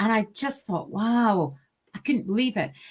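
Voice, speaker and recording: The speaker has an Aberdeen accent and ordinary pitch variation. It is a very clean recording with a silent background. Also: woman. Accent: Scottish (Aberdeen). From Scotland, Aberdeen. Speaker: sales director. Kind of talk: interview. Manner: deliberately slow.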